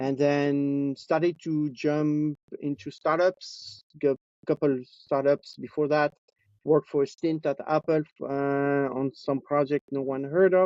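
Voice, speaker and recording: Speaking at a fairly slow pace in a French accent, a man holds a monotone, flat intonation at a fairly high pitch. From France (Nice). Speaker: robotics engineering executive. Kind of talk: interview. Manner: hesitant, with many fillers.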